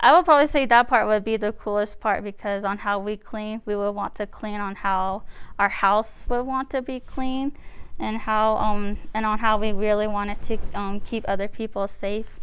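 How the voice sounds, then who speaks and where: With an American accent, a woman speaks at a moderate pace in a fairly high pitch, her intonation fairly even against a quiet background. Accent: Navajo English. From Navajo Nation, Arizona. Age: young. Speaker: sanitation worker. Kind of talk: interview answer.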